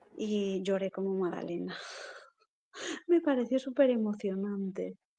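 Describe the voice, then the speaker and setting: A medium-pitched woman's voice at a fairly slow pace, with ordinary pitch variation. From Galicia, Spain (Lugo). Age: 40s. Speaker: poet and writer. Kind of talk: interview conversation.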